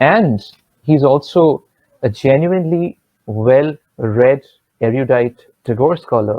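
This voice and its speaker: The delivery is very slow, with long, frequent pauses. The speaker has a Bengali accent. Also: man, medium pitch for a man, ordinary pitch variation. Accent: Indian Bengali English. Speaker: vocalist and festival curator. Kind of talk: formal introduction of guests. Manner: hesitant, many fillers.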